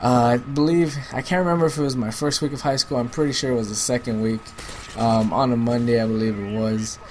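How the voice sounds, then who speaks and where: A man with an American accent talks at a very fast pace and a medium pitch, with ordinary pitch variation. Noticeable background noise sits under his voice. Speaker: gaming commentator. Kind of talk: casual advice talk over gameplay. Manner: casual, filler-heavy.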